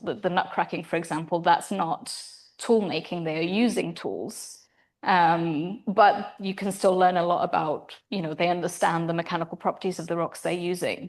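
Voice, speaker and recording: Pitch varies in an ordinary way. The background is quiet. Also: woman. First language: not English. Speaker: primatologist researcher. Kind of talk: lecture Q&A. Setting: seminar with live audience. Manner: hesitant, many fillers.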